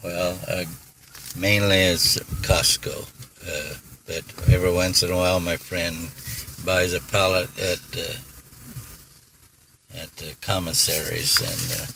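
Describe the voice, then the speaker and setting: A soft-spoken man talks at a fairly slow pace with long, frequent pauses. His loudness swings widely, and noticeable background noise is present. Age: 80s+. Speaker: retired iron worker, feeds feral cats. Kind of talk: interview answer.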